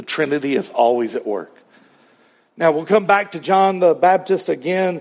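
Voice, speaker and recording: A man talks at a moderate pace with a high pitch. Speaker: preacher. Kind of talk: sermon. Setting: church.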